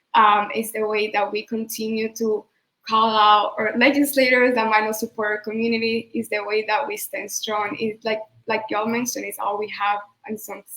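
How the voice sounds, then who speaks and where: A woman's fairly high voice, monotone and flat, at a moderate pace. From Venezuela. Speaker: immigrant organizer. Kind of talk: panel discussion.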